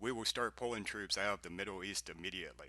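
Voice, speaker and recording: A man's put-on character voice, very fast and fairly even in intonation. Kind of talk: radio news bulletin. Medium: read story. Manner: brisk, official.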